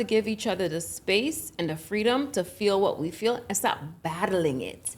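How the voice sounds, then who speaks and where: This woman's medium-pitched voice has vocal fry and lively intonation. She keeps a moderate pace. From Jamaica, raised in the United States. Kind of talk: casual podcast conversation.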